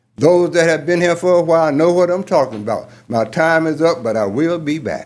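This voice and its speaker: This man speaks with a Georgia accent. His pitch is fairly high, with ordinary variation. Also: fairly quick pace. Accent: Georgia Southern. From US South. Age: 80s+. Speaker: commissioner speaking at public hearing. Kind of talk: public comment. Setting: city council chamber. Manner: formal.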